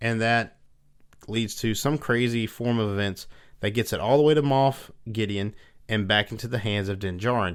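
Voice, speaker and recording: A man with a Southern US accent talks at a fairly low pitch. His pace is moderate, and his pitch variation is ordinary. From US South. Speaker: podcast host. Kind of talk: casual chat.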